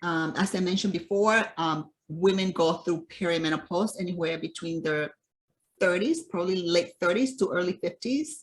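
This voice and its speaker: This woman has a normal speaking voice with a fairly low pitch. She moves at a moderate pace with ordinary pitch variation. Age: 60s. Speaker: nutrition and fitness coach. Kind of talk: interview.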